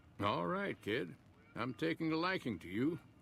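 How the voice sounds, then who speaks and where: Using a put-on character voice, a man sounds gruff with lively intonation at a moderate pace over clear background noise. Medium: video game. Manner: folksy, gruff.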